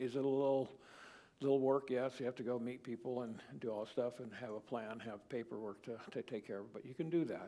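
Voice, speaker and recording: In a dark, mellow tone, a man speaks at a medium pitch and a moderate pace with fairly even intonation. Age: 70s. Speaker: Bible class teacher. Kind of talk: Bible study lesson. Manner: halting.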